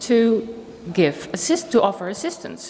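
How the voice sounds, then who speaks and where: A woman with a Dutch accent speaks at a moderate pace, her fairly high voice making very wide pitch swings against noticeable background noise. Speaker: philosophy professor. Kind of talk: conference talk. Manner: formal.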